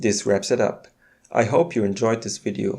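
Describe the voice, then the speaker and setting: A man's dark, mellow tone stands out over a quiet background. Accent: German. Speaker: YouTuber, new to the platform.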